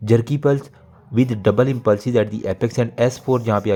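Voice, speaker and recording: This man's voice has a dark, mellow tone. The background is quiet. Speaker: medical lecturer. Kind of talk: exam review lecture. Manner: fast.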